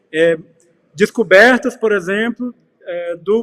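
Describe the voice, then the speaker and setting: A man talks at a fairly slow pace with ordinary pitch variation. The sound is dry and close, with no echo. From Brazil, Piauí. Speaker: curator and researcher. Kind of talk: panel talk / lecture. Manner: hesitant, many filler sounds.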